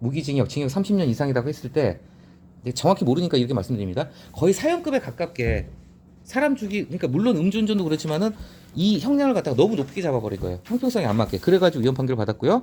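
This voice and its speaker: Very fast pace from a man with a dark, mellow tone, vocal fry, fairly high pitch and very wide pitch swings. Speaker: newspaper editorial commentator. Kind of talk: reading and commenting on newspaper editorials. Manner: casual explanatory, self-correcting.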